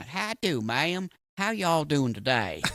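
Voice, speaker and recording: Putting on a drawling Southern-accented character voice, a man speaks at a moderate pace with a fairly high pitch and very wide pitch swings. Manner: exaggerated drawl, friendly.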